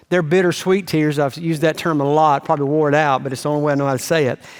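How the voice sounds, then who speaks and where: This man speaks in a Southern US accent with a fairly high pitch. His intonation stays fairly even. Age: 60s. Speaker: pastor. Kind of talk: sermon. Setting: church.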